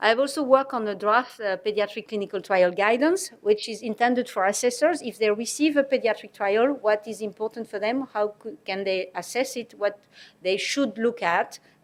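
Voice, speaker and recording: A woman in a French accent, fairly high in pitch with ordinary pitch variation, at a moderate pace with hardly any pauses, on a very clean recording with a silent background. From France. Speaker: medicines regulator. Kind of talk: presentation. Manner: halting.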